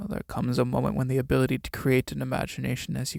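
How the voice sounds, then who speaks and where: A man's shaky, put-on character voice at a medium pitch and a very fast pace. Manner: frail, jaw sagging.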